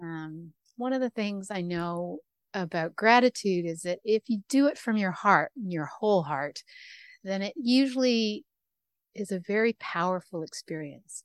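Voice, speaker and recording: A woman with a Canadian accent speaks at medium pitch and a fairly slow pace, her intonation lively. She has an ordinary speaking voice, recorded dry and close with no echo on a very clean recording with a silent background. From Canada. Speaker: radio host. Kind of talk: interview conversation.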